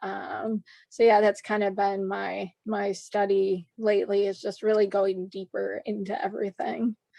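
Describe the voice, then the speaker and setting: Speaking fairly slowly with an American accent, a woman barely pauses, and the sound is dry and close with no echo. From US Midwest, Chicago suburbs. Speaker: horse trainer and riding instructor. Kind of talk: podcast interview. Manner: many filler words (um, uh).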